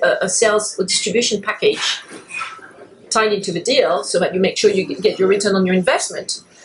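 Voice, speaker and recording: Over noticeable background noise, a woman speaks fairly quickly in a fairly high voice with fairly even intonation. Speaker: lawyer and podcast host. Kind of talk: interview conversation. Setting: in-person interview at a London club. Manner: hesitant with many fillers.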